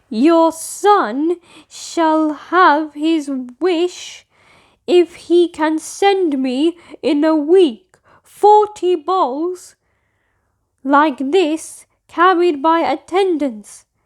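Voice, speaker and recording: Putting on a character voice, a woman projects at an extremely high pitch, raised and very slow, with ordinary pitch variation. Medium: read story.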